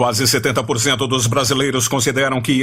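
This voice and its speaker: A man is speaking. There is music in the background. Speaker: radio journalist, announcer. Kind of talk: radio news bulletin read.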